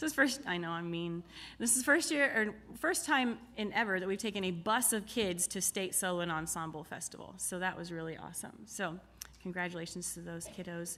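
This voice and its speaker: A woman at medium pitch with a bright, sharp tone, speaking at a fairly quick pace. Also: lively intonation. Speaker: music teacher. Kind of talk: awards ceremony announcements.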